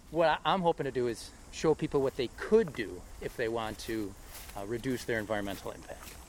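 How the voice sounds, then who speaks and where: With a plain, everyday voice, a man speaks at a fairly quick pace, his medium pitch moving in lively intonation. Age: 40s. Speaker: podcast host. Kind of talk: casual chat. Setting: outdoors.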